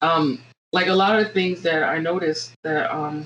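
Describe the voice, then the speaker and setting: A woman speaks with an American accent. Her pitch sits fairly low. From US South, Virginia. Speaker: podcast co-host. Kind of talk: casual chat. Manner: hesitant, many fillers.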